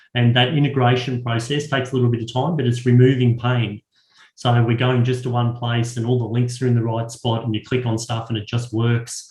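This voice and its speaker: Somewhat breathy, the voice moves at a fairly quick pace in a monotone, flat intonation. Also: man, medium pitch for a man. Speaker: education consultant. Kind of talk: webinar Q and A. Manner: fast.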